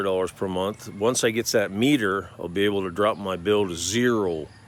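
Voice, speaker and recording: A man at a moderate pace and fairly low pitch, with fairly even intonation and a normal speaking voice. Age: 60s. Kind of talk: casual talk to camera.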